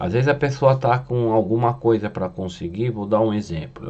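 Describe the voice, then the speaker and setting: Speaking at a moderate pace, this man has a plain, everyday voice pitched fairly low. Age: 60s. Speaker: spiritual medium. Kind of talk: casual monologue teaching.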